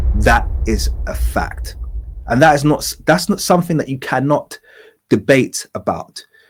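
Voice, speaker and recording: The man talks at a fairly slow pace. Behind him, music is playing. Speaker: political commentary youtuber. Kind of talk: reaction commentary. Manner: many filler ums.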